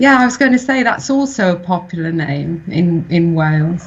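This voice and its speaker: A woman speaks with a southern English accent. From England (Reading, Berkshire) with Welsh family. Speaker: children's book author. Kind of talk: interview.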